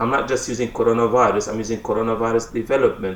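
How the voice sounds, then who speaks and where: With audible room echo, a man talks at a medium pitch in a fairly even intonation. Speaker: English teacher. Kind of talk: lecture.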